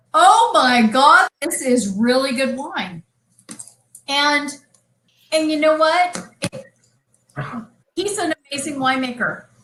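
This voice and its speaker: A woman with an American accent uses a raised, projected voice, high in pitch and bright and sharp in tone, speaking at a very slow pace. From California. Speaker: winery co-owner. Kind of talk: casual chat. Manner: animated.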